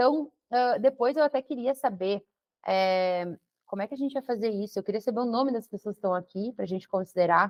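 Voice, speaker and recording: Ordinary pitch variation from a woman speaking at a fairly quick pace. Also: fairly high pitch for a woman. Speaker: web project manager. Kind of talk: online talk. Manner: animated.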